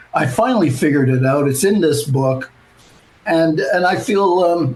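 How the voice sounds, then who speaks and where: Over noticeable background noise, a man speaks with lively intonation at a fairly high pitch. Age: 70s. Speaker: author and political writer. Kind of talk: interview. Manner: halting, many fillers.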